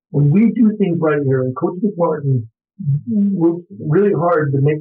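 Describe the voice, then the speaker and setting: Some music is audible behind the speech. Pitch movement is typical. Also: man. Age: 60s. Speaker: college football coach. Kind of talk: interview.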